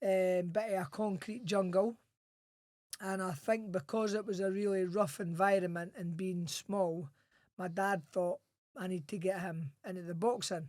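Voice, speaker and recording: A strong Scottish accent, fairly slow pace and fairly even intonation. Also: man, high pitch for a man. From Scotland, Edinburgh. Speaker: former boxer and Royal Marine. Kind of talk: podcast interview.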